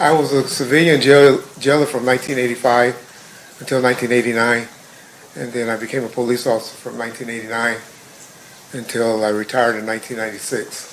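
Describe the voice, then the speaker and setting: The delivery is very fast with fairly even intonation, and noticeable background noise is present. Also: man, medium pitch for a man. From Compton, California. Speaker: trial witness, retired police officer. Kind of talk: court testimony. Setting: courtroom.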